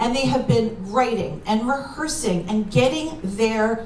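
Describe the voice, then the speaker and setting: A woman with a New York accent speaks at a fairly slow pace and a fairly high pitch, with very wide pitch swings. Audible room echo and noticeable background noise surround her. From New York, New Rochelle. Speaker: comedian and workshop leader. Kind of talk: stand-up. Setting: stage with audience.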